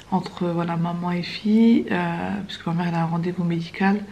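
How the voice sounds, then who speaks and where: Soft-spoken and fairly quick, a woman speaks at a medium pitch with ordinary pitch variation amid audible room echo. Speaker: vlogger. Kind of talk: casual vlog talk to camera. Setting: in a car.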